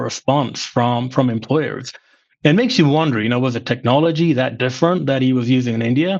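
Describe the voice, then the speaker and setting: With an American accent, a man talks at medium pitch and a fairly quick pace, using ordinary pitch variation over a quiet background. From England, Slough west of London. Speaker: former finance executive. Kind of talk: podcast interview.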